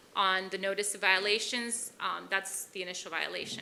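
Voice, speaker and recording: Noticeable background noise accompanies a woman who talks at a moderate pace. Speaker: police officer. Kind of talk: presentation. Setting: city commission chambers. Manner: loud.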